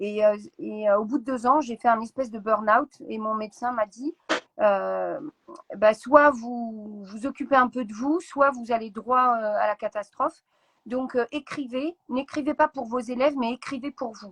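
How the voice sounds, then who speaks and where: A woman with a fairly high pitch and ordinary pitch variation speaks fairly slowly, her loudness swinging widely, in a dry, close sound with no echo. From France, Seine-et-Marne. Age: 40s. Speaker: author and teacher. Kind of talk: interview. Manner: hesitant, many fillers; energetic.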